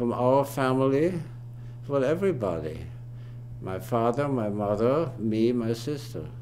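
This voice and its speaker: A man's medium-pitched voice at a fairly slow pace, with ordinary pitch variation, long, frequent pauses, noticeable background noise and audible room echo. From Austria, Vienna. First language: German. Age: 80s+. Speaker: family elder interviewee. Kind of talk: oral history interview. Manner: halting.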